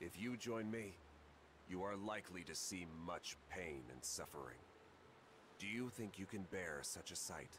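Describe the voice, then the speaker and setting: Using a put-on character voice with very deep, low pitch, a man speaks at a moderate pace with long, frequent pauses over loud background noise. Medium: video game. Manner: dignified, measured.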